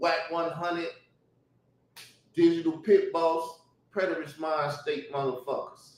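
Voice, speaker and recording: Loud and fairly slow, a man speaks in a high pitch with fairly even intonation. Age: 40s. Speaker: YouTube commentator. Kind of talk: heated rant. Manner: laughing.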